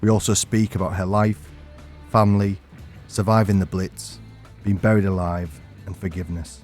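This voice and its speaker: With music in the background, a man with a very deep, low voice speaks at a moderate pace, using ordinary pitch variation and long, frequent pauses. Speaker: podcast host, former firefighter and soldier. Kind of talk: podcast intro narration.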